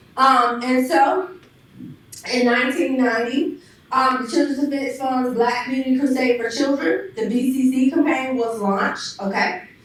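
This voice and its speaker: High-pitched female voice at a moderate pace, ordinary pitch variation, audible room echo and noticeable background noise. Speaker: panelist, youth education program leader. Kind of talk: presentation to an audience. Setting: church hall with live audience and Zoom.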